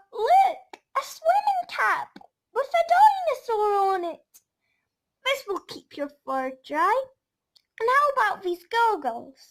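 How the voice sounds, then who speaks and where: In a put-on character voice, a woman sounds squeaky at an extremely high pitch, talking at a fairly slow pace. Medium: read story. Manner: upbeat, encouraging.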